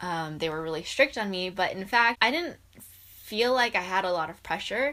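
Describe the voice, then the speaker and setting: A bright, sharp tone with an American accent, moderate pace and ordinary pitch variation, in a very clean recording with a silent background. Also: woman. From US Pacific Northwest, Seattle. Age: 20s. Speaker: YouTuber. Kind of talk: personal story vlog.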